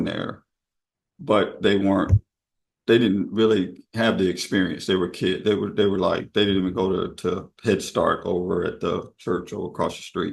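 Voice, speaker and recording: This man has an unremarkable speaking voice, fairly low in pitch, with fairly even intonation, a moderate pace and an American accent. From US South. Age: 50s. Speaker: longtime local resident. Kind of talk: oral history interview.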